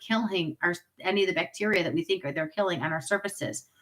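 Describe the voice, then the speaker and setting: Very fast speech from a woman at a medium pitch. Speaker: direct sales consultant doing product demo. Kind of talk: live-streamed sales pitch. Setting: home livestream. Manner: animated.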